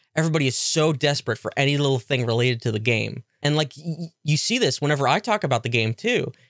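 With hardly any pauses, a man with a fairly high pitch speaks at a very fast pace. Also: lively intonation. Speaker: podcast host. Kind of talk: angry rant about a video game. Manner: ranting, irritated, profane, sarcastic; rambling, casual, self-deprecating.

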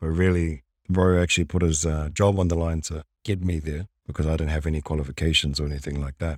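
Someone with a New Zealand accent talks at a very fast pace in a monotone, flat intonation. The recording is very clean, with a silent background. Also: man, very deep, low pitch for a man. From New Zealand, Wellington. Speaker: podcast co-host, former construction worker. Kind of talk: casual chat.

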